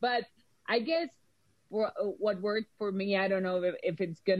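A woman speaks with a Mexican accent and ordinary pitch variation. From Mexico. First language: Spanish. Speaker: film and TV producer. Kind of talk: casual chat.

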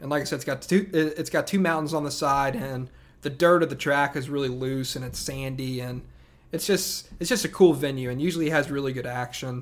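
This man has a Southern US accent and talks at a fairly quick pace in a fairly high pitch with ordinary pitch variation. The recording is very clean with a silent background. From upstate South Carolina. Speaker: podcast host, monster truck fan. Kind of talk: solo podcast monologue. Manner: casual, many filler words.

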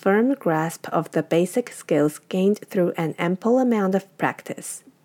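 A woman speaks with a Chinese accent in a dark, mellow tone at medium pitch and a moderate pace. Her intonation is lively, and the recording is very clean with a silent background. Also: dry, close sound with no echo. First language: Mandarin Chinese. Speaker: podcast host. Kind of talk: scripted narration.

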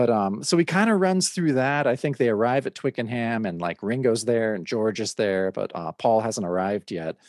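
It's an unremarkable speaking voice from a man with an American accent, medium in pitch and lively in intonation. He moves at a moderate pace with hardly any pauses, the sound dry and close with no echo over a quiet background. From Oregon. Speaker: podcast host and DJ. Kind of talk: casual interview.

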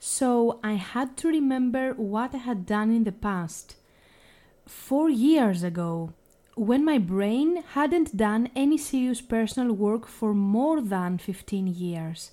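This woman has a fairly high voice with a dark, mellow tone and lively intonation. She talks at a very slow pace. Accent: Greek. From Greece. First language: Greek. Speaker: language teacher. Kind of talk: podcast monologue.

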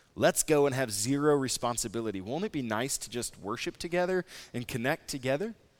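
A man talks at a fairly quick pace with lively intonation, using an ordinary speaking voice at a medium pitch. The recording is very clean, with a silent background. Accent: American. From Nebraska. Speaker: pastor. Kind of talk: sermon.

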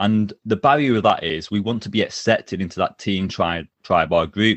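A plain, everyday voice talks at a moderate pace with ordinary pitch variation. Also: man. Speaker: job interview coach and author. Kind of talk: interview conversation. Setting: video call.

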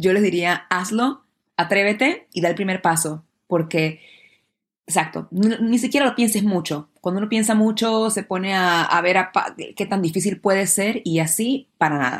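At a moderate pace, a woman speaks in a medium pitch with ordinary pitch variation, on a very clean recording with a silent background. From Panama. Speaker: actress and dancer. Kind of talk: interview.

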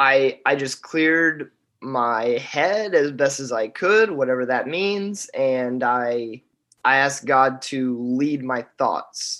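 In an American accent, a man talks at a very slow pace, his medium-pitched voice bright and sharp in tone with ordinary pitch variation. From southern Indiana (Boonville, near Evansville). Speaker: recent college graduate and church bass player. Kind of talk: interview testimony. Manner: casual, hesitant with many fillers.

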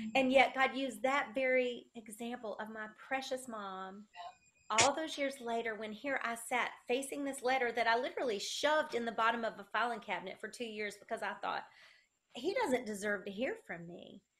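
A woman with a Southern US accent, fairly high pitch, ordinary pitch variation and a moderate pace. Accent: Southern US, country. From South Carolina. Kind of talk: interview, testimony. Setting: video call.

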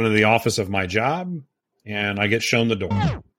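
With an American accent, a man uses an unremarkable speaking voice at a medium pitch with ordinary pitch variation, in a very clean recording with a silent background. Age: 40s. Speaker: podcast co-host, real estate agent and investor. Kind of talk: casual chat.

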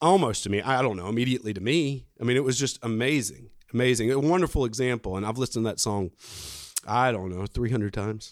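A man speaks very fast with an Alabama accent, his medium pitch moving with ordinary variation. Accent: Southern US (Alabama). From US South, coastal Alabama. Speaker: businessman, parishioner. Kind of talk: casual interview. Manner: halting, many fillers.

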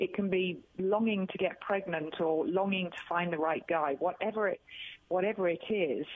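A woman speaks with a British accent at a moderate pace. Her pitch is medium, with ordinary variation. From England. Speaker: author and speaker, cancer survivor. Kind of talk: radio interview. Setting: phone call.

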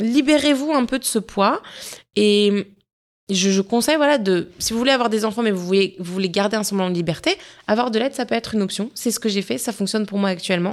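This woman has a plain, everyday voice with a fairly high pitch. She speaks at a fairly quick pace with ordinary pitch variation. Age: 30s. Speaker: wellness podcast host. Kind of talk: solo personal reflection podcast. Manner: conversational.

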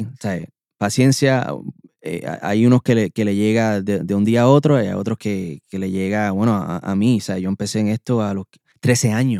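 At a moderate pace, a man speaks with a dark, mellow tone and fairly low pitch, showing ordinary pitch variation, and the sound is dry and close with no echo. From Puerto Rico (Bayamón), moved to US at nine. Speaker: vocal producer and singer. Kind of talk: interview. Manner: halting, repeats words.

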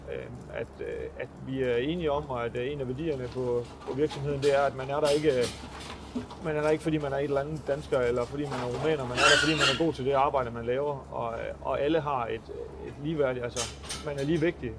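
A man talks in a flat, monotone way at a fairly high pitch. Noticeable background noise runs behind him. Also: fairly quick pace. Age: 30s. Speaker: pig farmer. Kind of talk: interview. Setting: on-site at a pig farm. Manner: halting.

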